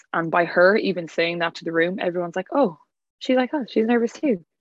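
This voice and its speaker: A woman with an Irish accent talks at a very fast pace. Her pitch variation is ordinary. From Ireland, County Clare. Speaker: wellness retreat organizer. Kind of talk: casual chat. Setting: video call. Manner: animated.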